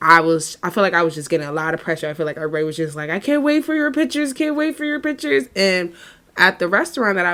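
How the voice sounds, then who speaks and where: A loud, animated woman's voice with very wide pitch swings. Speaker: podcast co-host. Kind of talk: casual chat.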